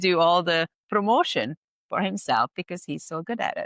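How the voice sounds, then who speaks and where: Speaking fairly quickly with a Hungarian accent, a woman is heard in a dry, close sound with no echo against a quiet background. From Hungary. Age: 50s. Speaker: spa owner, esthetician. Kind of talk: podcast interview.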